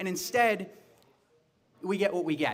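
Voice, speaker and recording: Loud and energetic in tone, a man speaks at a high pitch and a very fast pace with lively intonation. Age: 40s. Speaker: political candidate. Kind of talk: campaign speech. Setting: bar event with audience. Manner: energetic, loud.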